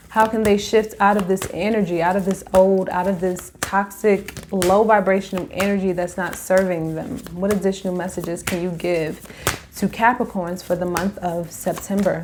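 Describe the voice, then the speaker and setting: A woman of medium pitch with noticeable background noise. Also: moderate pace. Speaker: tarot reader. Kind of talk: tarot reading. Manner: animated; loud.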